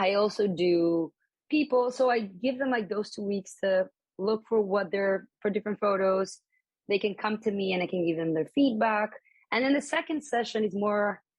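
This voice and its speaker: A woman with a Spanish accent at a medium pitch, moderate pace and ordinary pitch variation. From Colombia. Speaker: embroidery artist and graphic designer. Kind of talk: interview conversation. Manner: casual, with many fillers.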